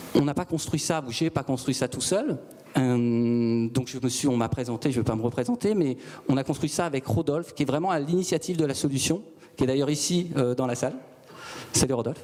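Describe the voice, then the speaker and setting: Speaking rather quickly, a man uses a normal amount of pitch movement. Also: fairly high pitch for a man. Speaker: startup founder. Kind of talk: sales pitch. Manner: calm; measured.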